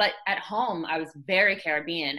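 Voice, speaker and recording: Her tone is bright and sharp, and this woman's pitch sits fairly low. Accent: Canadian. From Trinidad, moved to Canada as a child. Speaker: fashion model. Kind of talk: interview conversation.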